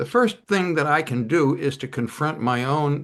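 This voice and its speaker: With an American accent and vocal fry, the speaker goes at a fairly slow pace against a quiet background. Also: man. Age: 80s+. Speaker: author and climate activist. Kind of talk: interview.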